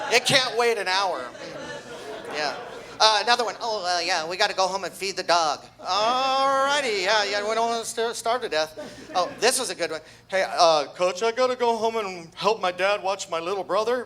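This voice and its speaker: A raised, projected man's voice, high in pitch and bright and sharp in tone, with lively intonation at a moderate pace. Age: 60s. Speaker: amateur comedian, wrestling coach. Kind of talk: stand-up comedy set.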